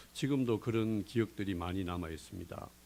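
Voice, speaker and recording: A man speaks with a Gyeongsang accent. His pitch variation is ordinary. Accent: Gyeongsang dialect, still present. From South Korea, Daegu (Gyeongsang). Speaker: recovering gambling addict. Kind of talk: testimony.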